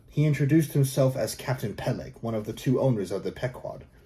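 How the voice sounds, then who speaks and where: Fairly quick and somewhat breathy, a man speaks at a medium pitch with lively intonation. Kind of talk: audiobook narration.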